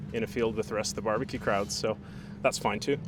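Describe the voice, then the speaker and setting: A man talks with an American accent. His pitch is fairly low. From Canada (Alberta). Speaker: barbecue caterer and competitor. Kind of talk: interview. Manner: casual, hesitant fillers.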